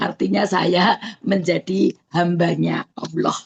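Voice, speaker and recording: A woman's very slow, fairly low-pitched voice with vocal fry, in a dry, close sound with no echo. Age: 60s. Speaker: customer giving testimonial. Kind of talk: testimony. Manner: halting, many fillers.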